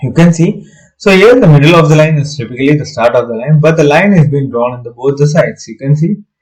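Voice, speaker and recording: A man speaks at a fairly high pitch with ordinary pitch variation. His voice is somewhat breathy and his pace moderate. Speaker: architecture software tutor. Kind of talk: tutorial. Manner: hesitant, many fillers.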